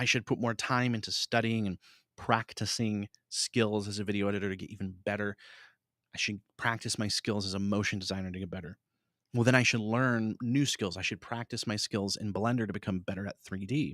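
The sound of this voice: On a very clean recording with a silent background, a man with a fairly low pitch and a fairly bright tone talks at a fairly quick pace in fairly even intonation, the sound dry and close with no echo.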